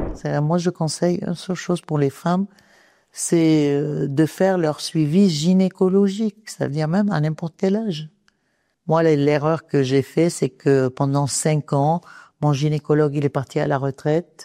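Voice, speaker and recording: A woman's very deep, low voice with a dark, mellow tone, ordinary pitch variation and a fairly slow pace, in a dry, close sound with no echo. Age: 60s. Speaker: cancer survivor, patient advocate. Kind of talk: testimony. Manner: hesitant, many fillers.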